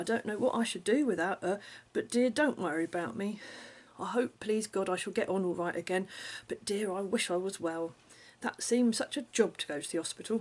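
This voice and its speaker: A woman speaks in an ordinary speaking voice at medium pitch, moving at a fairly quick pace with ordinary pitch variation over a quiet background. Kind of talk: letter reading.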